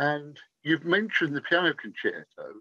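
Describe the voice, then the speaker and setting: A man with an English accent, high-pitched, bright and sharp in tone, at a moderate pace against a quiet background. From England. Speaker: interviewer. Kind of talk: interview. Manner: polite, formal. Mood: warm, enthusiastic. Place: home room. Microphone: video call.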